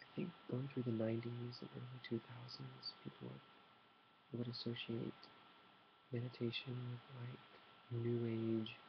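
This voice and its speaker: A soft-spoken man whispers at a fairly slow pace in a relaxed tone. Long pauses come often. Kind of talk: ASMR soft-spoken talk to camera, tea meditation. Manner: soft-spoken, whispered, relaxed.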